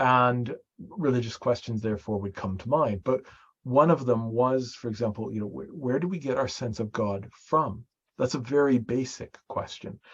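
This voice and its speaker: The man's medium-pitched voice is somewhat breathy. He speaks at a moderate pace. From Canada, Winnipeg. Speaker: priest and theologian. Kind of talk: interview conversation.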